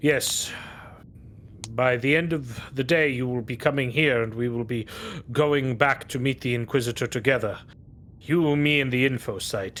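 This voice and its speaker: A man performs a put-on character voice with fairly even intonation and long, frequent pauses. Background noise is clearly audible. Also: medium pitch for a man, moderate pace. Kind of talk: imperial officialese. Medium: actual play. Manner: formal, clipped, composed.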